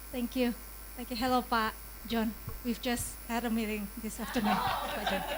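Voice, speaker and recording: A woman's fairly high-pitched, monotone, flat voice at a moderate pace, with long, frequent pauses and noticeable background noise. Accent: Indonesian. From Indonesia, Yogyakarta. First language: Indonesian. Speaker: audience member asking question. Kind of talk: audience question. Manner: halting.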